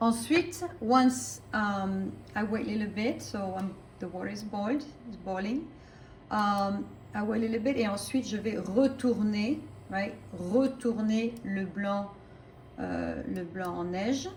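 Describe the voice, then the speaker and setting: A woman talks with ordinary pitch variation amid audible room echo and noticeable background noise. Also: medium pitch for a woman, fairly slow pace. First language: French. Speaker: French teacher. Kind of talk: cooking tutorial with language teaching. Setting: home kitchen.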